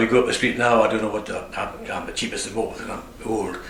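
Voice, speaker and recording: A man talks fairly quickly at a medium pitch, his intonation monotone and flat. Room echo is audible, and background noise is noticeable. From northern England, Northumberland (Morpeth). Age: 70s. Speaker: retiring barber. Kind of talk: interview. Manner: halting.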